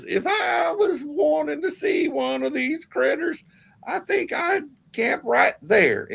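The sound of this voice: A put-on character voice shouts in a squeaky, high pitch. The pace is fairly slow.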